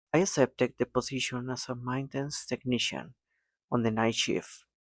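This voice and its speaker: A man with a non-native accent talks at a moderate pace in a medium pitch, with ordinary pitch variation. The recording is very clean, with a silent background and a dry, close sound with no echo. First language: not English. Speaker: mechatronics engineer vlogger. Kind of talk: casual vlog monologue. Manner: occasional hesitations and self-corrections.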